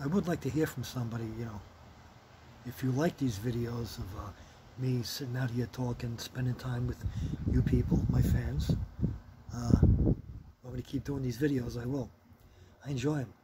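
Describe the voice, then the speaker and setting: Moderate pace, ordinary pitch variation, and long, frequent pauses over noticeable background noise. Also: man, medium pitch for a man. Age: 60s. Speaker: retired vlogger. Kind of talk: casual chat. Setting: outdoors. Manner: casual, profane.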